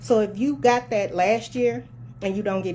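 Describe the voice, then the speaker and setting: Against noticeable background noise, a woman speaks passionately at a medium pitch and a moderate pace. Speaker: tax preparer. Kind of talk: casual talk to camera. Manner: soft-spoken; passionate, can sound like hollering.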